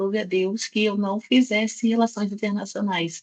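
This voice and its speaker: A woman speaks with a Rio de Janeiro accent, her voice somewhat breathy. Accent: carioca (Rio de Janeiro). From Brazil, Rio de Janeiro. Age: 30s. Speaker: nutritionist, workshop speaker. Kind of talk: online workshop talk.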